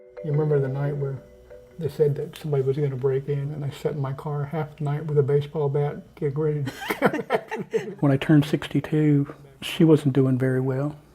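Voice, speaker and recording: A man talks fairly quickly at a fairly high pitch with fairly even intonation. Noticeable background noise runs underneath. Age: 60s. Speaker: retired mental health counselor. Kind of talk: interview testimony.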